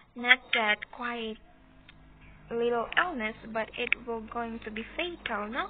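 Over noticeable background noise, a woman with a Visayan Filipino accent speaks at a very slow pace, her loudness swinging widely while her pitch varies in an ordinary way. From Philippines. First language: Cebuano. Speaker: student. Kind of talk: class report presentation. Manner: halting.

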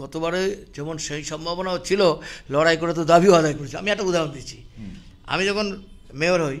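This man's high-pitched voice keeps a fairly even intonation while its loudness swings a lot. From India, North Bengal (Siliguri); North Bengal. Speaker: politician, former mayor. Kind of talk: interview. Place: office. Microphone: handheld.

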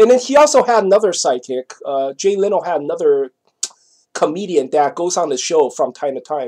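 In a quiet setting, a man's pitch swings very widely as he talks at a moderate speed. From Taiwan. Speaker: vlogger; vlogger telling a personal story. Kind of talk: casual monologue; casual vlog chat. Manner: halting. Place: home room. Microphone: webcam.

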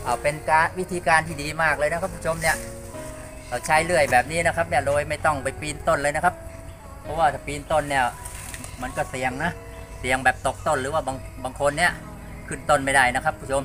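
Clear music plays in the background. A man speaks over it with fairly even intonation. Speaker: home gardener vlogger. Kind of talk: casual vlog tutorial. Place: garden. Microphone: phone near.

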